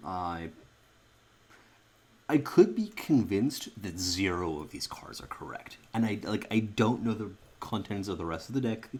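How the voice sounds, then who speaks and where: The speaker goes at a fairly slow pace with long, frequent pauses, big swings in loudness and ordinary pitch variation. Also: man, fairly low pitch for a man. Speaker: card game streamer. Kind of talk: gameplay commentary. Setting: recording at home at night. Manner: soft-spoken; halting.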